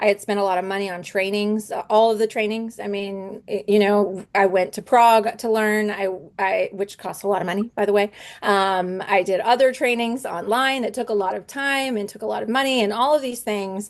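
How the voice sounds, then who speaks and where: This woman talks at a fairly quick pace with a medium pitch and fairly even intonation. The background is quiet. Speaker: homeschooling mom and essential oils business presenter. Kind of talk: online presentation. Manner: fast.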